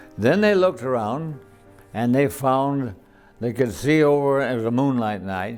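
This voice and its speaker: Music sits in the background as a man with an American accent speaks fairly slowly. His medium-pitched voice has lively intonation. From Colorado, USA. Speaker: World War II veteran. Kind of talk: interview answer.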